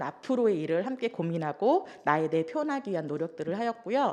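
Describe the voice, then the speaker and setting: Her pitch swinging very widely around a medium level, a woman talks at a fairly quick pace. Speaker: social welfare worker presenting program results. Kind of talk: conference presentation. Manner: trembling voice; hesitant with fillers.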